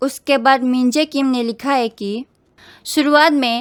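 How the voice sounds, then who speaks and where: A woman's high-pitched voice with a strong Northeast Indian accent and ordinary pitch variation, dry and close with no echo, on a very clean recording with a silent background. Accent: strong North-Eastern accent in Hindi. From Northeast India, Bodo. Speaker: YouTuber, reaction video host. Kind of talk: reading comments with commentary.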